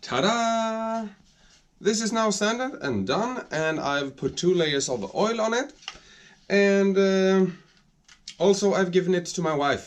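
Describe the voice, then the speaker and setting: Someone speaks very slowly in a Swedish accent, with lively intonation. Long pauses come often. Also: man, high pitch for a man. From Sweden. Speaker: woodworking hobbyist YouTuber. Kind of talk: workshop video narration. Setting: home workshop. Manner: halting, searching for words.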